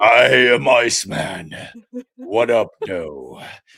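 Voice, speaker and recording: A man puts on a raspy character voice at a medium pitch with a theatrical tone. He speaks at a very slow pace. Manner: grand, theatrical.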